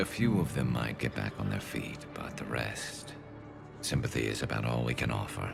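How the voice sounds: Over clear background music, a man in a put-on character voice speaks at a moderate pace with an extremely low pitch, vocal fry and lively intonation.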